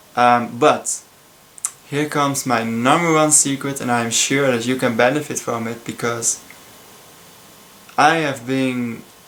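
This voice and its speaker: Over noticeable background noise, a man with a Dutch accent speaks at a fairly slow pace, leaving long, frequent pauses. His medium-pitched intonation stays fairly even. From Netherlands. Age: 20s. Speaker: student. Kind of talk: casual talk to camera. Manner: hesitant, many filler sounds.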